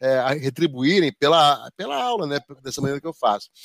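The sound is dry and close, with no echo. A man speaks at a moderate pace with lively intonation. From Rio de Janeiro, Brazil. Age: 50s. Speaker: project management professor and association executive. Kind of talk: interview. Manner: talkative, rambling.

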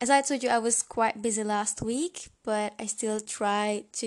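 A woman with a Hungarian accent and a fairly high pitch speaks at a fairly slow pace against a quiet background. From Hungary. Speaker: podcast host. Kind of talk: solo podcast monologue. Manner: hesitant, many fillers.

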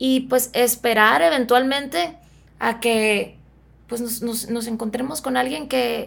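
At a very slow pace, a woman speaks in a fairly high voice with ordinary pitch variation, on a very clean recording with a silent background. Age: 30s. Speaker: psychotherapist. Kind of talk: casual chat.

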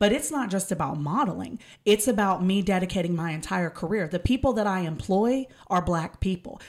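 A plain, everyday voice from a woman with an American accent, medium pitch, ordinary pitch variation and a fairly quick pace. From East Texas. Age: 30s. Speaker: model. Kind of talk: casual chat.

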